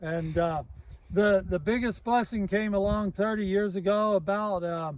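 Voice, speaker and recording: Speaking with an American accent, a man uses a high pitch, ordinary pitch variation and a fairly slow pace. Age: 60s. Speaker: farmer. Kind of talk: casual interview, personal story.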